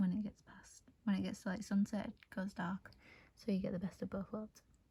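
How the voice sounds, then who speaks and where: Soft-spoken and somewhat breathy, a woman with a medium pitch and a dark, mellow tone talks at a moderate pace. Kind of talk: casual unboxing talk to camera. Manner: relaxed, laid-back.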